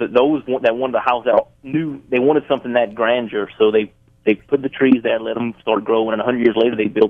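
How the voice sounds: Intonation stays fairly even. The pace is fairly quick. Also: man, medium pitch for a man.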